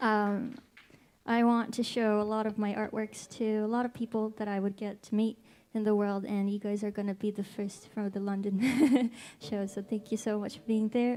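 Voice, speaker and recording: In a very clean recording with a silent background, a woman with a fairly high pitch and a dark, mellow tone speaks at a moderate pace in a monotone, flat intonation. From Japan, Tokyo. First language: Japanese. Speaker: singer-songwriter. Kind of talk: stage talk between songs. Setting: stage with audience in a pub.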